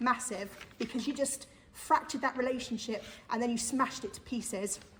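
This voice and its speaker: Loud speech with fairly even intonation comes through. There is audible room echo and noticeable background noise. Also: woman. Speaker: parent campaigner giving public statement. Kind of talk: public statement at council meeting. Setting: council meeting. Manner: forceful.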